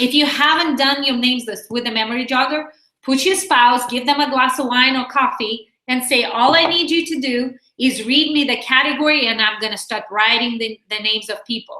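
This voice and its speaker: Speaking with a Russian accent, a woman uses a raised, projected voice that is high in pitch, with ordinary pitch variation and a fairly quick pace. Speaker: direct sales team leader. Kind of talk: training webinar. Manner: animated.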